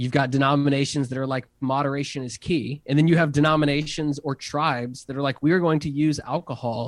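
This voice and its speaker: This man has an ordinary speaking voice, fairly high in pitch, with fairly even intonation. He goes at a fairly quick pace with hardly any pauses on a very clean recording with a silent background. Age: 30s. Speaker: pastor and innovation strategist. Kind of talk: casual interview chat.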